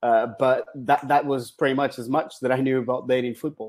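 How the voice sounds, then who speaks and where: A man with a Portuguese accent on a very clean recording with a silent background. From Portugal. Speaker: football data scientist. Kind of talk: interview. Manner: hesitant with fillers.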